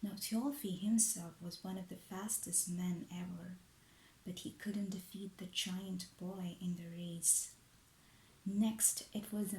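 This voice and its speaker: A man with a high pitch talks quietly at a very slow pace, his tone soothing and his intonation fairly even. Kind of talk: ASMR bedtime story narration. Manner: hushed, soothing, relaxing.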